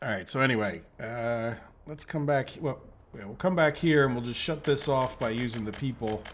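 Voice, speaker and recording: A man with an American accent speaks in an unremarkable speaking voice at medium pitch, with ordinary pitch variation and big swings in loudness. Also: moderate pace. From United States. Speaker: gaming YouTuber. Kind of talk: let's play commentary. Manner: casual, thinking aloud.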